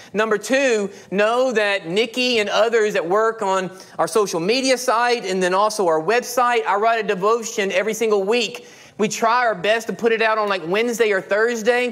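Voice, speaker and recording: A man's high voice, fairly quick and with fairly even intonation. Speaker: pastor. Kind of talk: sermon. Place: church.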